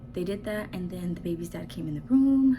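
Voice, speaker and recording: Soft-spoken woman's voice with very wide pitch swings. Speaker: vlogger. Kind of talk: personal storytelling. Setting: at home, baby sleeping nearby. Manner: animated.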